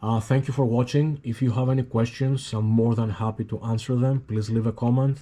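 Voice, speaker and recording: A man's dark, mellow voice with a Greek accent, medium pitch, fairly even intonation and moderate pace, in a very clean recording with a silent background. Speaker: hobbyist YouTuber. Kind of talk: casual tutorial. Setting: at home. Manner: halting, many fillers.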